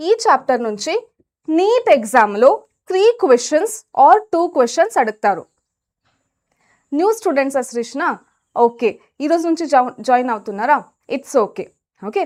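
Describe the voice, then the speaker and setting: Here a woman speaks at a high pitch. Her voice makes very wide pitch swings. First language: Kannada (speaking Telugu). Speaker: biology teacher. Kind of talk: live online lecture. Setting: live stream with chat. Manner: energetic, encouraging.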